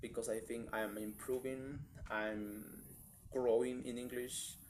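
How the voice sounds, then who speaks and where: A man speaks with a Spanish accent at a medium pitch. His pace is very slow. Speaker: vlogger practicing English. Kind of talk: casual monologue vlog. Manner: halting, with restarts and fillers.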